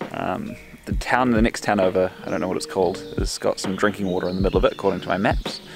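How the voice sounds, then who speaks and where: Music plays in the background as a man with a New Zealand accent talks at a very fast pace. His intonation is lively. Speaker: travel vlogger. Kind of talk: casual vlog narration. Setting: outdoors on a bike tour. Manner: casual, rambling with fillers.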